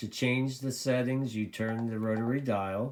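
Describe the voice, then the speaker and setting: Using a plain, everyday voice, a man talks at medium pitch and a fairly slow pace. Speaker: CB radio hobbyist reviewer. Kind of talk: tutorial. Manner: casual, filler-heavy.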